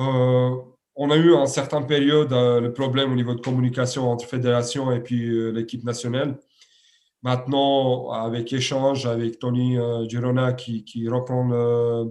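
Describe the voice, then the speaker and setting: This man's medium-pitched voice moves at a fairly slow pace with monotone, flat intonation. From Serbia. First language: Serbian (speaking French). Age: 30s. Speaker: handball coach. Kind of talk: interview. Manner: halting, many repetitions and fillers.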